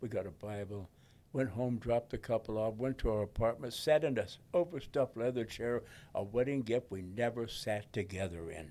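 A man with an American accent, dark and mellow in tone, medium pitch, ordinary pitch variation, at a moderate pace. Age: 90s. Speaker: war veteran. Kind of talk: interview.

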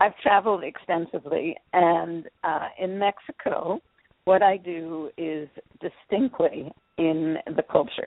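A woman speaks with an American accent and a fairly low pitch. It is an ordinary speaking voice, with ordinary pitch variation. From Philadelphia, US. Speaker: energy healer. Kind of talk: radio interview. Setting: radio show.

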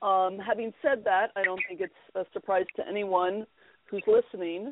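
Her voice is a plain, everyday voice, medium in pitch. The woman keeps a moderate pace with ordinary pitch variation. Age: 50s. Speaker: Episcopal priest and NLP practitioner. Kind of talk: interview.

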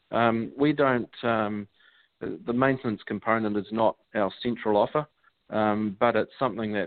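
At a moderate pace, a man with a strong New Zealand accent speaks at a fairly low pitch with ordinary pitch variation. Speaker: franchise co-founder. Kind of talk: interview.

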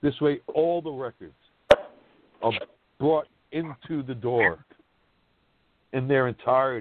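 Someone with a New York accent speaks at a fairly slow pace with ordinary pitch variation and long, frequent pauses. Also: man, medium pitch for a man. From Brooklyn, New York. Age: 50s. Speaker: sports blogger. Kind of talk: roundtable discussion. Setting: live online podcast.

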